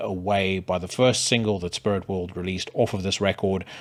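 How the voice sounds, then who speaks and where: A man with a South African accent at a fairly quick pace. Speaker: podcast host. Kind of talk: casual monologue with music reviews. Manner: hesitant, many fillers.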